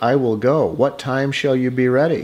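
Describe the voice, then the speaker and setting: The speaker puts on a character voice. Its pace is moderate. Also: man. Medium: read story. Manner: bright, plucky.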